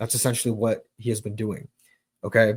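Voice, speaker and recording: In a very clean recording with a silent background, a man talks in a somewhat breathy voice at a medium pitch. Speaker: Bible teacher, online preacher. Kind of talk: Bible teaching livestream. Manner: fast.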